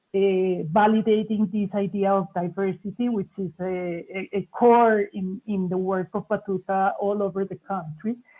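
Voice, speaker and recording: Words come at a fairly slow pace. They carry a Spanish accent. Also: woman. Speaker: arts foundation director. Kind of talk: panel discussion.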